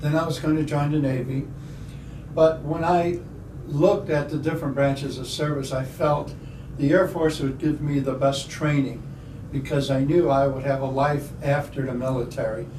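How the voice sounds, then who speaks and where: A man with an American accent speaks at a moderate pace and fairly high pitch with fairly even intonation. Noticeable background noise and audible room echo are present. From Chicago area, US Midwest. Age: 70s. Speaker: air force veteran. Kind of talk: oral history interview. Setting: library.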